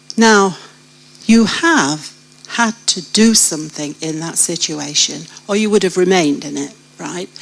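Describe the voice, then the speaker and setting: With a British accent, a woman speaks at a fairly slow pace in a medium pitch, with lively intonation and big swings in loudness. Long, frequent pauses break up her speech, and there is noticeable background noise. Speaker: church member sharing life story. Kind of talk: testimony. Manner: animated.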